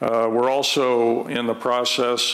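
Speaking very slowly, a man delivers the words. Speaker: school district administrator. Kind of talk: public meeting testimony. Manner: halting. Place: hall. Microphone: podium.

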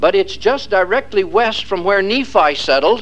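Fairly quick in pace, a man talks at a high pitch. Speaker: lecturer. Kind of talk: lecture. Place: classroom.

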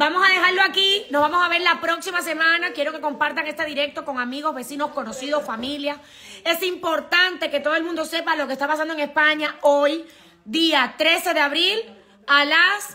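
A woman's extremely high, raised and projected voice, bright and sharp in tone, at a moderate pace with fairly even intonation. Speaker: immigration consultancy director. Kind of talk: live stream talk to viewers. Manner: casual, with many fillers. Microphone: phone near.

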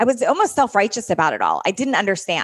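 Fairly quick and lively in intonation, a woman with an unremarkable speaking voice and fairly high pitch is heard in a dry, close sound with no echo. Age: 40s. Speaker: fitness coach and podcast host. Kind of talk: interview. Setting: stage with audience.

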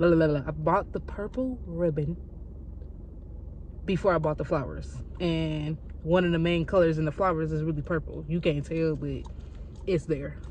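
A woman speaks at a fairly quick pace, the sound dry with no echo and light background noise present. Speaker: vlogger. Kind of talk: casual vlog chat. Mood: rushed but cheerful. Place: street. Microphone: phone near.

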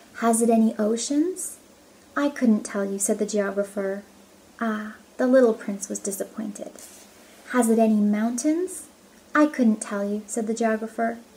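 A woman speaks in a gentle tone at a fairly slow pace, leaving long, frequent pauses. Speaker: storybook reader. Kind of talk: audiobook reading aloud. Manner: gentle, measured storybook pacing. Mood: calm, gentle storytelling. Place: home room. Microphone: phone near.

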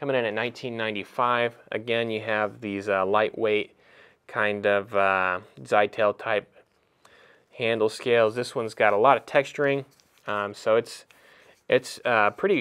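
With long, frequent pauses, a man speaks at a moderate pace and a fairly low pitch, his intonation fairly even against a quiet background. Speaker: knife retailer presenter; presenter. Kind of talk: product review. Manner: halting, many fillers. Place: home room.

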